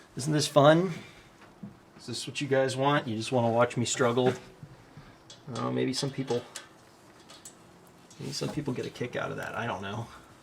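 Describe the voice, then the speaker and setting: Pausing long and often, a man speaks at a moderate pace in a medium pitch with fairly even intonation, over noticeable background noise. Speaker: DIY mechanic YouTuber. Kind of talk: hands-on tutorial while working. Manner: halting, thinking aloud.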